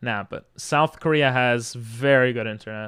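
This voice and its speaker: Recorded very cleanly against a silent background, a man speaks at a medium pitch with ordinary pitch variation. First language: Hebrew. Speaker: streamer. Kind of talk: casual chat. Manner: casual, many fillers.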